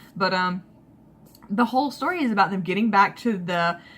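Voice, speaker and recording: Speaking with a Southern US accent, a woman keeps a moderate pace and ordinary pitch variation. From Alabama, US South. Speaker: manga book reviewer. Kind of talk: casual video review. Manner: casual with many fillers.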